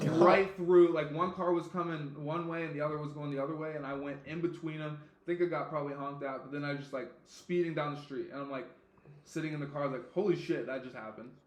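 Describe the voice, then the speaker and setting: Talking at a very fast pace, a man with a fairly high pitch swings widely in loudness, with audible room echo and noticeable background noise. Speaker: podcast host. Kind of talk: casual chat. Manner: animated.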